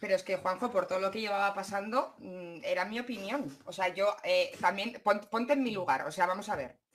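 Her intonation lively, a woman talks at a fairly quick pace in a medium pitch. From Basque Country. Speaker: YouTuber. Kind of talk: livestream conversation. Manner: direct, blunt.

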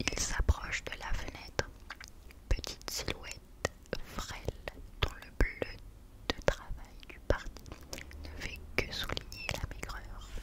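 Whispering at a very slow pace, the speaker leaves long, frequent pauses and makes big swings in loudness. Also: woman. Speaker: ASMR creator. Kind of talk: audiobook-style reading of a novel, whispered. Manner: whispered, soft. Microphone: studio mic.

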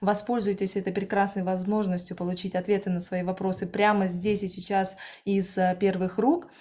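At a moderate pace, a woman speaks with flat, monotone intonation. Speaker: webinar moderator. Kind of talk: event moderation. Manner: hesitant filler sounds. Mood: friendly, upbeat.

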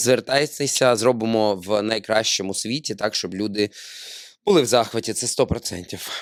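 A man at medium pitch in a normal speaking voice with ordinary pitch variation, in a very clean recording with a silent background. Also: fairly slow pace. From Ukraine, Odesa. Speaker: podcast host, actor. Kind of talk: casual chat. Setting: studio.

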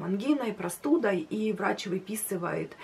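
With ordinary pitch variation, a woman's speech proceeds at a moderate pace. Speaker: weight loss vlogger. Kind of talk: casual vlog chat. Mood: calm personal story. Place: home room.

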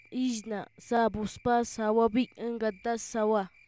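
This woman's voice is fairly high in pitch with a dark, mellow tone. She speaks very slowly in a monotone, flat delivery. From Colombia, Awá people. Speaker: voice-over narrator, translator. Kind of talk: educational vocabulary reading in Awá.

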